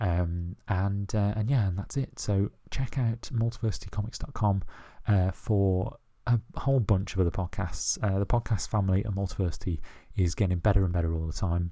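In a very clean recording with a silent background, a man with a British accent speaks at a fairly quick pace in a fairly low, somewhat breathy voice with ordinary pitch variation. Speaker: podcast host. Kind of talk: casual solo monologue. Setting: at home. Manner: hesitant, many fillers.

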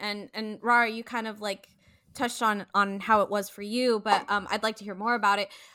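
A woman with an American accent, a bright, sharp tone, fairly high pitch, fairly even intonation and a fairly quick pace, on a very clean recording with a silent background. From San Francisco, US. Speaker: podcast co-host. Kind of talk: casual chat.

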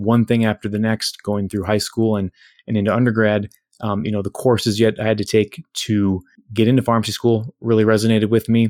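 In a very clean recording with a silent background and a dry, close sound with no echo, a man speaks at a fairly quick pace with a fairly low pitch and monotone, flat intonation. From Minnesota, US Midwest. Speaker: pharmacist and software entrepreneur. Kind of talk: interview. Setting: podcast recording.

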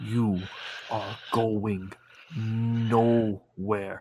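A man speaks in a put-on character voice at a medium pitch. His intonation stays flat and monotone. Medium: actual play. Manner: menacing, cryptic.

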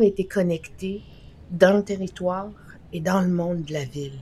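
Ordinary pitch variation marks this woman's medium-pitched voice. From Innu community, Quebec. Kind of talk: interview.

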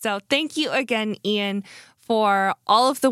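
In a dry, close sound with no echo, a woman uses a normal speaking voice, fairly high in pitch, with lively intonation. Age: 30s. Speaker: pastor and podcast host. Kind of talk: casual interview conversation.

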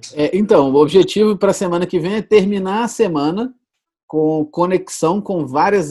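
A man's high-pitched voice with a dark, mellow tone and lively intonation. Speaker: podcast host and sales executive. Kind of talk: casual chat.

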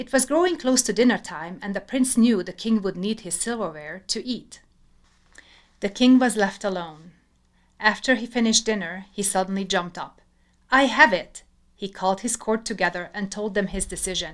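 Here is a woman with a normal speaking voice at a medium pitch, talking at a moderate pace with ordinary pitch variation. Her loudness swings a lot, and the recording is very clean with a silent background. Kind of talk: scripted fairy-tale narration. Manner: measured, storytelling cadence.

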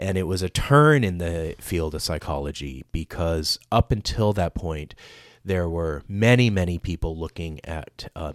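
In a very clean recording with a silent background and a dry, close sound with no echo, a man with a very deep, low pitch speaks at a fairly slow pace with ordinary pitch variation. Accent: Southern Californian. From Los Angeles, US. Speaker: education director, podcast guest. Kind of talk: casual radio interview. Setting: radio studio.

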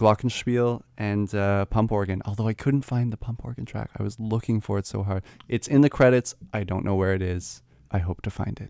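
With a Canadian accent, a man speaks at a moderate pace and fairly low pitch with fairly even intonation and a dark, mellow tone, in a dry, close recording with no echo and a very clean, silent background. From Canada. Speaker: jazz musician. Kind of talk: casual chat.

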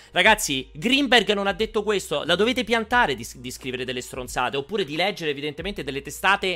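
Over music in the background, a man speaks very fast in a high, animated voice, with very wide pitch swings and big swings in loudness. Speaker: video game show host. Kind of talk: live-streamed casual chat. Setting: online live stream.

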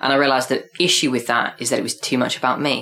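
A man rattles along at a very fast pace at a medium pitch while noticeable background noise carries on. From Devon, England. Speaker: performance artist. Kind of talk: casual chat.

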